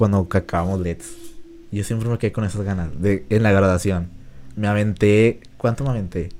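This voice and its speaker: This man has a fairly low pitch and a dark, mellow tone. He speaks at a moderate pace with ordinary pitch variation. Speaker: podcast host. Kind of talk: casual chat.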